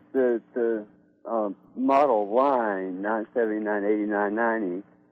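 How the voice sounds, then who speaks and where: Delivered at a fairly slow pace, this is a plain, everyday voice. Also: man. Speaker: caller. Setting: phone call.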